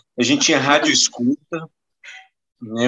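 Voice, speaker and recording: The man's tone is bright and sharp. He talks at a moderate pace. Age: 50s. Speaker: journalist. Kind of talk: casual chat.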